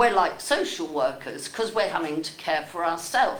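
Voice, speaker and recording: With audible room echo and noticeable background noise, a woman speaks with very wide pitch swings. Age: 80s+. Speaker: member of the public. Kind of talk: public comment at a meeting. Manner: animated.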